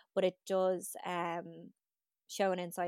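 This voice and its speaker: A woman speaks in an Irish accent at a fairly low pitch. Her intonation is flat and monotone, and the sound is dry and close with no echo. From Ireland. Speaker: podcast host. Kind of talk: casual chat.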